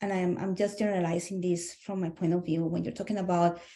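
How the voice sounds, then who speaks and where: With a Spanish accent, a woman speaks in a medium pitch and a dark, mellow tone, her intonation monotone and flat. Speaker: SLP webinar participant. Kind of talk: group discussion. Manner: halting.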